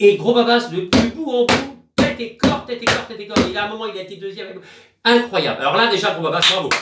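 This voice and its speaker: With noticeable echo in the room, this voice moves at a fairly brisk clip, its volume jumping sharply up and down while the pitch varies in a normal way. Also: man, high pitch for a man. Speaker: online sailing game community YouTuber. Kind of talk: casual live stream. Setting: small room at home. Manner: loud; hesitant, many fillers. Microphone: no microphone.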